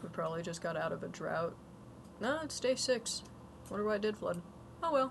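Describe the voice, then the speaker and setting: A woman at a medium pitch and fairly quick pace, with very wide pitch swings, long and frequent pauses, and noticeable background noise. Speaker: gaming streamer. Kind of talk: casual chat. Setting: livestream. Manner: soft-spoken.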